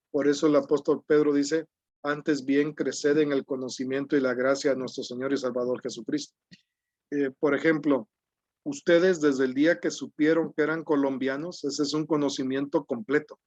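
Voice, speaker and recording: A man's monotone, flat delivery at a moderate pace. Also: fairly high pitch for a man, dry, close sound with no echo. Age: 60s. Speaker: preacher. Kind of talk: sermon.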